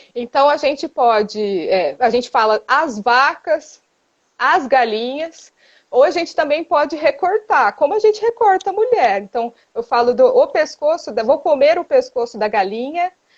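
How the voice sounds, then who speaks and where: Speech unfolds at a fairly slow pace. Its pitch rises and falls across a very wide range. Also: woman, high pitch for a woman. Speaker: philosophy professor. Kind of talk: lecture. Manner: halting.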